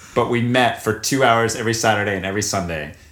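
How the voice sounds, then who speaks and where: A man with an American accent talks at a very fast pace in a fairly low pitch. Audible room echo surrounds his voice. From US South, North Carolina. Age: 20s. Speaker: actor. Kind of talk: casual chat.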